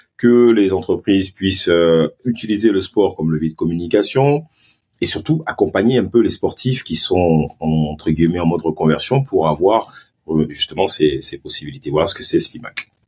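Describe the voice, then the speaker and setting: Lively intonation runs through a man's speech, which keeps a moderate pace. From Marseille, northern districts. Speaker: former professional footballer. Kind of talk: interview. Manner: halting, repeats words.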